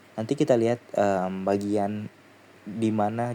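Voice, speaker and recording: Soft-spoken and fairly even in intonation, the man has a dark, mellow tone. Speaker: student. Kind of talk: tutorial. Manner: halting. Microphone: quiet recording.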